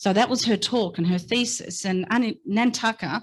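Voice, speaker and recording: A woman speaks in an Australian accent with ordinary pitch variation. The background is quiet. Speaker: invited speaker sharing family story. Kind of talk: public talk. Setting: stage with audience. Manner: halting.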